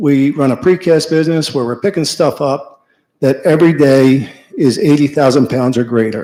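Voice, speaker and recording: A man with an American accent speaks at a moderate pace in a fairly high pitch, his dark, mellow tone carrying ordinary pitch variation. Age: 50s. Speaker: business owner. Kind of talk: public comment. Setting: public meeting.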